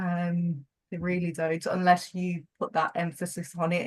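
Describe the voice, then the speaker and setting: A somewhat breathy woman's voice, fairly low in pitch, at a moderate pace. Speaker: marketing coach and YouTuber. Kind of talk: podcast interview. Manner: hesitant, many fillers and repetitions; stutters when nervous.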